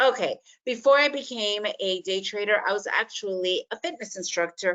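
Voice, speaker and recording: Speaking in a plain, everyday voice, a woman with an American accent uses lively intonation. Her pitch is fairly high and her pace moderate. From United States, Soviet-born refugee. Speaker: day trader and trading educator. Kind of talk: webinar presentation.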